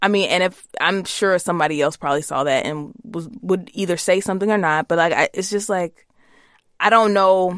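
On a very clean recording with a silent background, a woman with an American accent speaks at a fairly quick pace and medium pitch, with ordinary pitch variation. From Virginia, US South. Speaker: podcast co-host. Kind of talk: casual chat. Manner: animated, joking.

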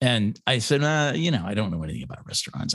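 Very fast male speech in an American accent, medium-pitched with vocal fry and very wide pitch swings. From Washington State. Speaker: wine podcaster and tasting room manager. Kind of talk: casual interview chat. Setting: in-person.

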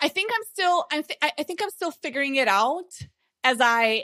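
In a Slovene accent, a woman speaks with a bright, sharp tone, the sound dry and close with no echo. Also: very clean recording, silent background. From Slovenia. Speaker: online marketing consultant and course creator. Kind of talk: interview.

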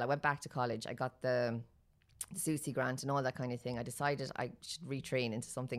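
A woman's very deep, low voice in an Irish accent, very fast, on a very clean recording with a silent background. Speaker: budgeting influencer, mother. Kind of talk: casual interview.

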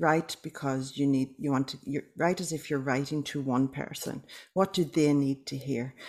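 The recording is very clean, with a silent background. A woman with a very deep, low pitch talks at a moderate pace. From Northern Ireland. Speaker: author and publisher. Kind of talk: interview.

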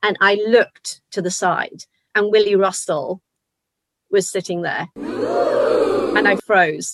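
Speaking with a slight Liverpool accent, a woman takes a fairly slow pace. The sound is dry and close, with no echo. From Liverpool, England. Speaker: actor and choir leader. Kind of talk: casual chat. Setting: video call.

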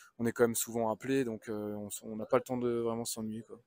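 On a very clean recording with a silent background and a dry, close sound with no echo, a man speaks at a fairly quick pace in a dark, mellow tone at a medium pitch, his intonation monotone and flat. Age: 30s. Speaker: agricultural machinery sales inspector. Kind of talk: interview. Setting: trade show stand. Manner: halting.

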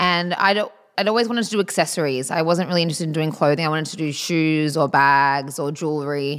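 In a very clean recording with a silent background, a woman with a very deep, low pitch talks at a very fast pace with ordinary pitch variation and an Australian accent. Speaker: eyewear designer. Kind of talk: interview conversation.

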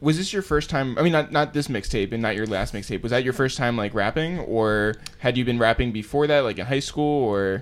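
A man's normal speaking voice at a medium pitch, fairly quick in pace, with ordinary pitch variation. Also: hardly any pauses. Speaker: podcast host. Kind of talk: casual interview.

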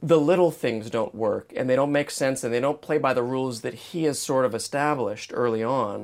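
A man's plain, everyday voice at medium pitch, moderate pace and lively intonation, in a very clean recording with a silent background. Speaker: podcast host. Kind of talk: casual chat.

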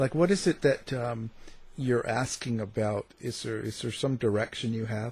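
A somewhat breathy man with ordinary pitch variation, in a very clean recording with a silent background. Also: medium pitch for a man, moderate pace. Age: 50s. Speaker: radio host. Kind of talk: interview. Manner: hesitant, many filler words.

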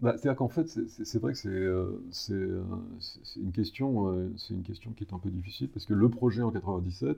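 A man speaks with a somewhat breathy voice at a moderate pace. His intonation is lively. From provincial France. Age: 60s. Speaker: lawyer. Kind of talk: interview. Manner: halting, many repetitions and fillers.

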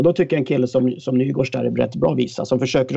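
This is a man's voice with a dark, mellow tone. His intonation stays fairly even. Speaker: hockey pundit, former player. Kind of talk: casual chat.

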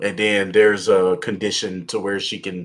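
A man speaks with an American accent at a fairly low pitch. His pace is moderate. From Texas. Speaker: board game YouTuber. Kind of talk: casual chat.

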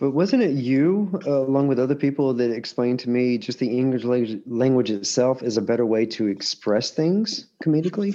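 A man with an American accent talks at a fairly quick pace and medium pitch. His intonation is lively while his loudness stays very even. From Alabama, US South. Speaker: stand-up comedian. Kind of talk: casual chat. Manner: repeats words, halting.

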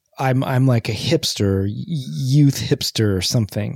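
A dark, mellow tone with ordinary pitch variation at a fairly slow pace, in a dry, close sound with no echo and a very clean recording with a silent background. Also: man. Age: middle-aged. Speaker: podcast co-host. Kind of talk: casual chat.

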